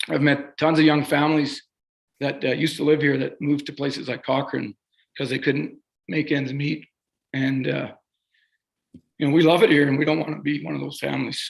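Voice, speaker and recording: Fairly quick pace from a man with a fairly high pitch, vocal fry, fairly even intonation, and long, frequent pauses. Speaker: appellant homeowner. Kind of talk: formal presentation.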